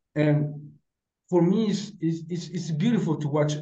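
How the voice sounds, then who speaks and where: Audible room echo surrounds a man's dark, mellow, somewhat breathy voice in a Spanish accent. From Mexico. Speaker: football podcast panelist. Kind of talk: casual chat.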